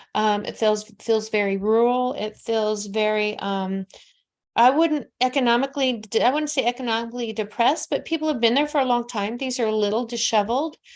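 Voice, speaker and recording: A woman with an American accent and a fairly high pitch, at a moderate pace with ordinary pitch variation, on a very clean recording with a silent background. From Nevada, US. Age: 60s. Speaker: psychic medium. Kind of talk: live psychic reading. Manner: animated.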